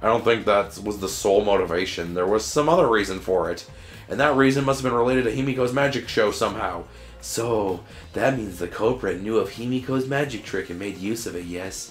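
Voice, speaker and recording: A raspy, put-on character voice from a man at medium pitch, fairly quick, with clear music in the background. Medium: game stream. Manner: measured, unsettling.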